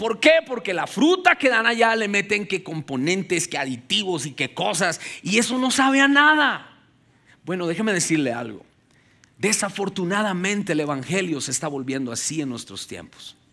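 Over a quiet background, a man with a high pitch uses a bright, sharp tone and a raised, projected voice, his pitch swinging very widely at a moderate pace. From Colombia (Ubaté, near Bogotá). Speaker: pastor. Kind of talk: sermon. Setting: church with congregation. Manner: animated. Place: stage. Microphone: headset.

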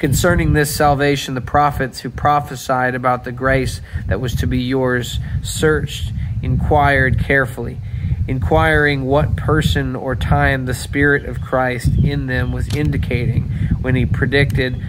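A man talks at a fairly slow pace with ordinary pitch variation. Noticeable background noise runs underneath. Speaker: pastor. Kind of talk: devotional talk and scripture reading. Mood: calm, reflective. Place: garden. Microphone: phone near.

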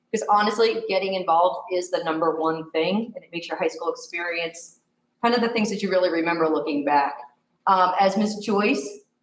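With audible room echo and light background noise, a woman talks at a fairly quick pace with ordinary pitch variation. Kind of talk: presentation to committee. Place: hall. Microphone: camera far.

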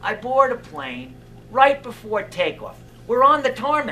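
Light background noise sits under a man's speech. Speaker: stand-up comedian. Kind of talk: stand-up comedy monologue. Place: stage. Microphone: headset.

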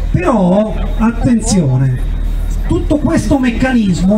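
There is noticeable background noise. Over it, a man speaks with lively intonation. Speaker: politician at a protest rally. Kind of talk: rally speech. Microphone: handheld.

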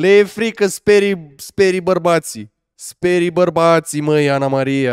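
Speech at a very slow pace with lively intonation comes through a quiet background with a dry sound and no echo. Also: man. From Romania. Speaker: streamer. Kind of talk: live reaction stream. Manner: animated. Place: home room. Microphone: studio mic.

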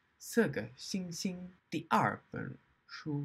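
This is a man speaking. His pace is very slow. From Australia. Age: 20s. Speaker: language learner. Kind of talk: casual talk to camera, learner book reviews. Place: home room. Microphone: webcam.

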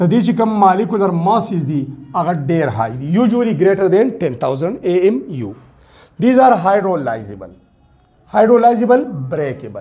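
With a Pashto accent, a man talks at a moderate pace and a high pitch, his pitch swinging very widely. Faint music plays in the background. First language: Pashto (speaking Hindi). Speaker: science teacher on YouTube. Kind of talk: lecture. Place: classroom. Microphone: lapel.

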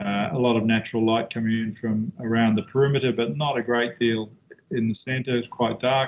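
A man with a New Zealand accent speaks with fairly even intonation and very even loudness. Light background noise can be heard. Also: fairly quick pace. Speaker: architect. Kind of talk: lecture. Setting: video call. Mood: calm, reflective. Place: office. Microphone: video call.

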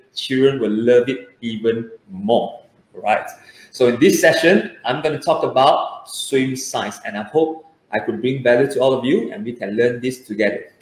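A man talks at a moderate pace. Room echo is audible around his voice. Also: ordinary pitch variation. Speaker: swim coach. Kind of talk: online kids lesson. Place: home room. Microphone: webcam.

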